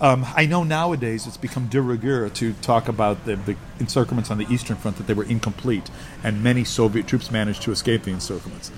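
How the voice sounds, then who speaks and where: With an American accent, a man speaks at a very fast pace and medium pitch. His pitch varies in an ordinary way, and noticeable background noise is present. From United States. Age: 60s. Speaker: military historian. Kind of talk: casual interview.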